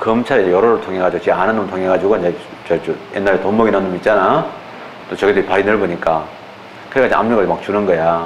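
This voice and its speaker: Speech comes at a very fast pace with fairly even intonation and long, frequent pauses. Noticeable background noise and audible room echo fill the recording. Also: man, fairly low pitch for a man. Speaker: law exam lecturer. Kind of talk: lecture. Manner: casual, colloquial digressions.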